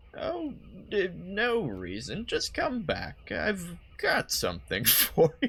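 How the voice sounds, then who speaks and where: Very slow speech from a man in a put-on character voice. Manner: coy, flirtatious.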